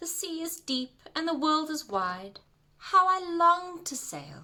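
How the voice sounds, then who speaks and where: The lines come out fairly slowly in a put-on character voice. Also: woman, extremely high pitch for a woman. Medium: read story.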